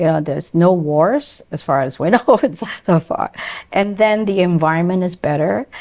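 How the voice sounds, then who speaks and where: An unremarkable speaking voice from a woman, fairly low in pitch, at a moderate pace with lively intonation. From immigrant to Canada. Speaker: podcast host. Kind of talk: interview.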